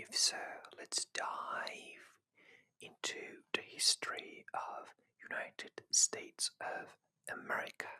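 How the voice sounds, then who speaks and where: Someone whispers at a very slow pace. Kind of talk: scripted history narration. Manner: whispered.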